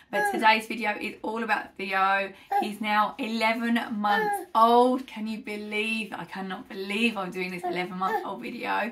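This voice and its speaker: Speaking with a British accent, a woman uses a fairly high pitch at a moderate pace. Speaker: parenting vlogger. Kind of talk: casual vlog update. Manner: chatty, many fillers.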